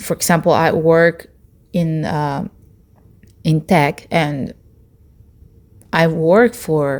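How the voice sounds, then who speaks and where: Very slow delivery with long, frequent pauses and ordinary pitch variation. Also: woman, fairly low pitch for a woman. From Latin America. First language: Spanish. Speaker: vlogger, tech worker. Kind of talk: personal vlog monologue. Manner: hesitant, with fillers.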